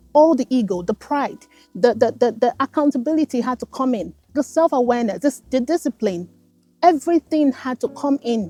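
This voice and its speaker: With music in the background, a woman talks at a fairly quick pace in a high voice, her tone animated and passionate and her intonation lively, the sound dry and close with no echo. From Nigeria. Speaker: self-development content creator. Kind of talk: motivational talk to camera. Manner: animated, passionate.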